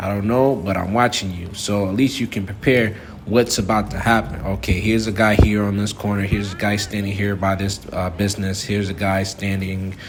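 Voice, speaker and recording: Talking at a fairly quick pace with hardly any pauses, a man with an American accent and a fairly low voice comes through noticeable background noise and audible room echo. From United States. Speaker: travel vlogger. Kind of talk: walking vlog tips monologue. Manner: animated, emphatic.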